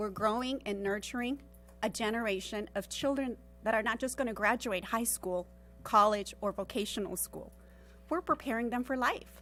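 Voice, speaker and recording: A woman speaks in a Spanish accent with vocal fry at a fairly quick pace. Her pitch is fairly high, with ordinary pitch variation. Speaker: parent speaking at public comment. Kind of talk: public comment at board meeting.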